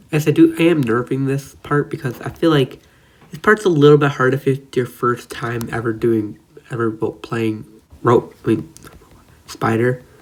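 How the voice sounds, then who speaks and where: Noticeable background noise runs under this man's voice. He has a medium pitch, ordinary pitch variation and a moderate pace. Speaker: gaming video creator. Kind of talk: casual gameplay commentary. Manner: casual, chatty.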